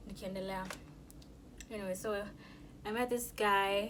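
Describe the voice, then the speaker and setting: A woman's monotone, flat intonation amid noticeable background noise and audible room echo. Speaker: YouTuber. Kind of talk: mukbang storytime. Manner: loud.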